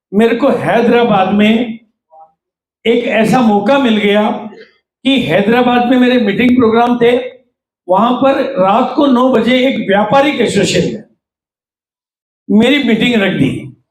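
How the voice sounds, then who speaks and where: With long, frequent pauses and fairly even intonation, a man talks at an extremely high pitch amid audible room echo. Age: 70s. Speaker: network marketing trainer. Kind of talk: workshop talk.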